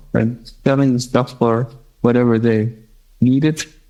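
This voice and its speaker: A man with a German accent speaks at a fairly slow pace. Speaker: blind musician, guitarist. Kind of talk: interview conversation. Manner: halting.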